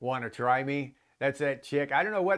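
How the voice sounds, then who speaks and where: A man's fairly high-pitched, ordinary speaking voice at a moderate pace, against a quiet background. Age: 50s. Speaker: livestream host. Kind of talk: casual chat. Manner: casual, loose and profane.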